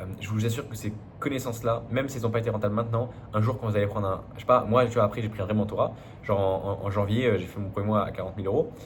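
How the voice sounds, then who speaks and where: A man's fairly low voice at a very fast pace, fairly even in intonation, with audible room echo. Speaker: business coach. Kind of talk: business advice monologue. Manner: casual, many fillers and restarts.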